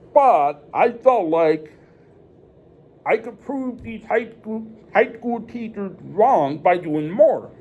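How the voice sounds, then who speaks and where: Speaking at a very slow pace with an American accent, a man uses a high pitch, lively intonation and big swings in loudness. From northern Illinois, Rockford. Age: 30s. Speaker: deaf presenter. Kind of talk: presentation to students. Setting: church.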